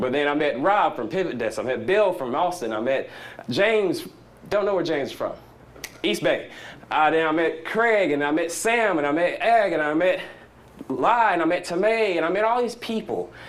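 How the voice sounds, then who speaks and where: A man with a Southern US accent speaks at a high pitch, with lively intonation and an animated tone. Room echo is audible. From US South. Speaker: conference speaker. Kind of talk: conference talk. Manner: fast.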